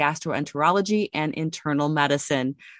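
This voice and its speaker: A woman talks at a moderate pace with ordinary pitch variation in a plain, everyday voice. The recording is very clean with a silent background, dry and close with no echo. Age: 30s. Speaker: podcast host. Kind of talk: scripted narration; interview.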